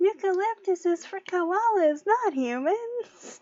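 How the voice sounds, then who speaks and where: A woman uses a squeaky put-on character voice at an extremely high pitch, speaking fairly slowly. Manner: mock-stern, preachy.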